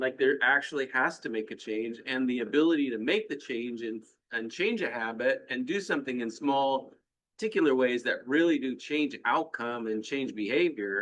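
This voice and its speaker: A man's medium-pitched, unremarkable speaking voice at a moderate pace. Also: ordinary pitch variation. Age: 60s. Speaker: business owner, panel member. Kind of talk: casual panel discussion.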